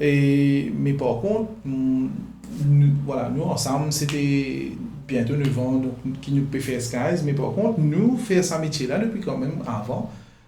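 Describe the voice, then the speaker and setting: A man's fairly high voice with ordinary pitch variation at a very slow pace, amid noticeable background noise and audible room echo. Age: 30s. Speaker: photographer and videographer. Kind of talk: interview. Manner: halting.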